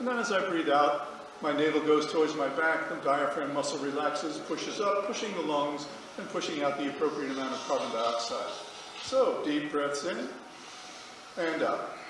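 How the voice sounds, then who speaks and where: A man speaks at a moderate pace, his pitch fairly high with ordinary variation. Noticeable background noise runs underneath. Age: 70s. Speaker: yoga instructor. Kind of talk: guided yoga class instruction to a group. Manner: calm, friendly, instructive.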